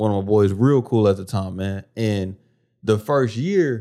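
Recorded very cleanly against a silent background, a man speaks at a moderate pace with a dark, mellow tone and lively intonation. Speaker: podcast host. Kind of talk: casual chat. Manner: animated.

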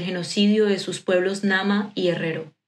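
Here a woman talks at a moderate pace. Her intonation is monotone and flat. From Colombia. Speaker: podcast commentator. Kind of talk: scripted narration.

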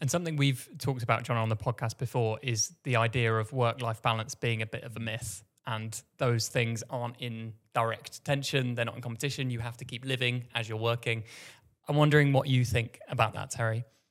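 In a plain, everyday voice, a man talks at a fairly quick pace with a medium pitch and fairly even intonation, recorded very cleanly with a silent background. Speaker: podcast host. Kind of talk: casual interview chat.

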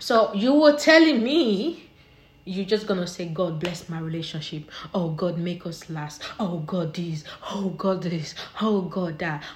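A woman's animated, fairly low voice with big swings in loudness, over noticeable background noise. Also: lively intonation. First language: not English. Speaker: solo podcaster. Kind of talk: casual monologue.

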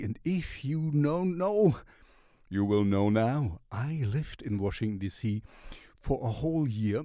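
Speaking at a very slow pace with a German accent, a man has a dark, mellow tone and very wide pitch swings. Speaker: music reviewer. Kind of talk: casual music review. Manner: halting.

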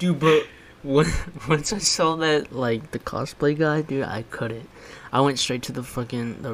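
In a plain, everyday voice, a man's pitch varies in an ordinary way as he keeps a moderate pace. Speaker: podcast host. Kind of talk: casual banter, comedic chat.

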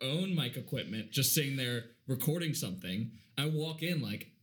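Somewhat breathy, a man talks at a fairly high pitch and fairly quick pace with lively intonation. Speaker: podcast co-host. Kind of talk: casual chat. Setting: studio.

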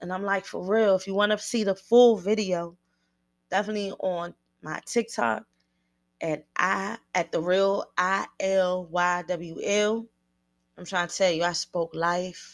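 A woman's animated voice at a fairly slow pace, with ordinary pitch variation, in a very clean recording with a silent background. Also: medium pitch for a woman. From Washington, D.C. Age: 30s. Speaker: podcast host. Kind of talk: casual monologue, podcast talk. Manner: animated, conversational, direct.

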